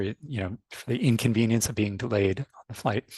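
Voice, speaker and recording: With a North American accent, a man speaks in a normal speaking voice at medium pitch and a fairly quick pace over a quiet background. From United States (born in Canada). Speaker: fintech industry expert. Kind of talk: webinar panel talk. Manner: frequent fillers and repetitions.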